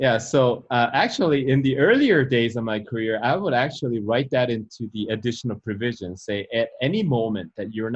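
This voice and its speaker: Speaking at a fairly quick pace, a man with a non-native accent uses a medium pitch with ordinary variation. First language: not English. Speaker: real estate broker and channel host. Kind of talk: instructional interview.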